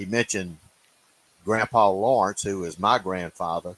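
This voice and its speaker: In a Louisiana accent, the speaker talks fairly slowly with fairly even intonation, the sound dry and close with no echo. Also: man. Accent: US Southern (Louisiana). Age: 70s. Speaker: turkey hunter. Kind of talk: casual chat.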